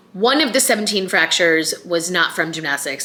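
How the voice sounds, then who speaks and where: Noticeable background noise sits behind a woman with a Chicago accent. She talks at a fairly quick pace in a fairly low pitch. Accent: Chicago American. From US Midwest, Chicago. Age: 40s. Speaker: vlogger. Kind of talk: casual vlog talk.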